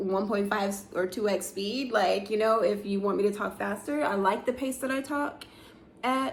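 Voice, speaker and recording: Audible room echo follows a woman speaking at a medium pitch with ordinary pitch variation. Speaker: vlogger in a tech career. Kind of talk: casual vlog monologue. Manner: slow; many filler words.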